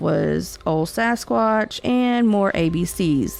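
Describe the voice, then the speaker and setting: A woman speaks with a Southern US accent. There is music in the background. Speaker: podcast host of Southern folklore and cryptids. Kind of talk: podcast narration. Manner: casual, folksy.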